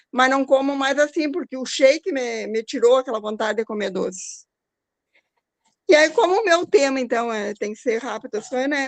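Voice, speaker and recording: With lively intonation, a woman speaks at a high pitch and a moderate pace in a dry, close sound with no echo. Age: 60s. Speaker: speaker sharing personal health story. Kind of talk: testimony.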